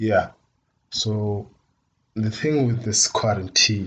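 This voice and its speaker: A man speaks very slowly in a Botswana accent, his pitch fairly low. His intonation is fairly even and his voice somewhat breathy. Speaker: podcast host. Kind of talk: casual solo podcast intro.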